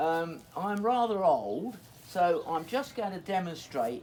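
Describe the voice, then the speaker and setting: With an English accent, a man talks in a high pitch and lively intonation. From England. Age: 80s+. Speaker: hedgelaying craftsman. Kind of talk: outdoor demonstration. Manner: halting.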